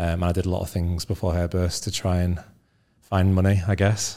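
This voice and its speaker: Very deep, low male pitch with a dark, mellow tone and monotone, flat intonation, on a very clean recording with a silent background. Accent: Yorkshire. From northern England, Leeds. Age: 30s. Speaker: business founder. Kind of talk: casual interview.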